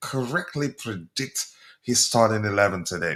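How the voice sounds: The man's tone is fairly bright, and his intonation is lively. He speaks at a fairly slow pace.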